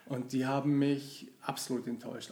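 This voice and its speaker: Noticeable noise fills the background. The voice belongs to a man. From Germany, local to the company's town. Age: 40s. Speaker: long-time employee of an IT company. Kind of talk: casual interview.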